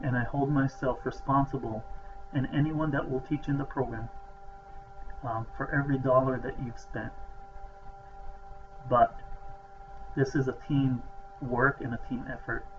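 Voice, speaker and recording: The man pauses long and often while keeping a moderate speed, with noticeable background noise behind him. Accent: non-native. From outside the US. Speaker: professor, program director. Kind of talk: welcome talk to students.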